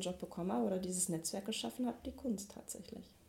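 A woman at a very fast pace, over noticeable background noise. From Ruhr area, Mülheim an der Ruhr. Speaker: street artist and photographer. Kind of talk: interview. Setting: home office.

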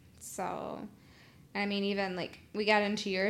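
A woman at a medium pitch, fairly slow, in a monotone, flat intonation. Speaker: podcast co-host, entrepreneur. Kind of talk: casual chat.

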